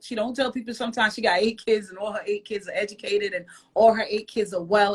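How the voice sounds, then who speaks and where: Talking very fast with a Jamaican accent, a woman uses a fairly high pitch and ordinary pitch variation. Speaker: podcast co-host. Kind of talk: casual chat. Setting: Instagram live video stream.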